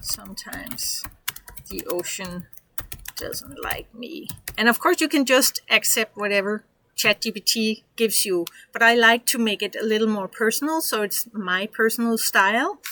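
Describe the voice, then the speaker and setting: A woman speaks in a Danish accent at a fairly high pitch and a moderate pace, with lively intonation. The sound is dry and close, with no echo. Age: 50s. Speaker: online business coach. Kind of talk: tutorial. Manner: casual, halting.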